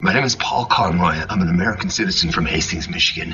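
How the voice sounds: A man puts on a raspy character voice at a fairly low pitch. He rattles along at a very fast pace.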